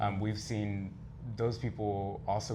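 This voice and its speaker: A man speaks at a moderate pace in a fairly low, somewhat breathy voice with a dark, mellow tone and fairly even intonation, and the room echo is audible. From Texas, Mexican American family. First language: Spanish. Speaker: leather contest contestant and community educator. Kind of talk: interview.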